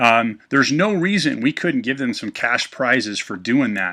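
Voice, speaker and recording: A man's medium-pitched, bright, sharp voice, lively in intonation, at a moderate pace against a quiet background. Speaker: business presenter running a webinar. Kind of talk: online business presentation. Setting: live webcast. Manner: hesitant, many fillers.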